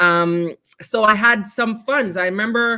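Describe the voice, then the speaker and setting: A woman speaks at a medium pitch with ordinary pitch variation. Her tone is bright and sharp. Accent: Jamaican Canadian. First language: Jamaican Patois. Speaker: poet and arts educator. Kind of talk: interview. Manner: animated.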